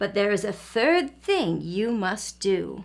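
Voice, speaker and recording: A put-on character voice, growling at a fairly slow pace. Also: woman, medium pitch for a woman. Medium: read story. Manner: gentle, earnest.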